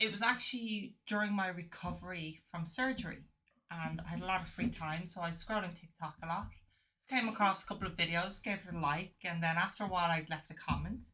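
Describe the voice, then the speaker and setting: A woman with an Irish accent speaks fairly quickly, with a fairly low pitch and ordinary pitch variation. Her tone is bright and sharp. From Ireland. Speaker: podcast guest. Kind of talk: casual chat.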